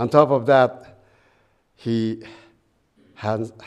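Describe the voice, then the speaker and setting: A man speaks at a medium pitch. He has a Japanese accent. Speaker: guest minister. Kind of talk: dharma talk. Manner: reading from prepared paper; halting with fillers.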